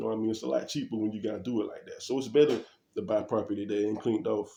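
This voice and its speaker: A man talks at a very fast pace with a fairly low pitch and ordinary pitch variation. His tone is dark and mellow, with vocal fry. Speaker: vlogger, property investor. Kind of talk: casual vlog talk. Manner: casual, hesitant.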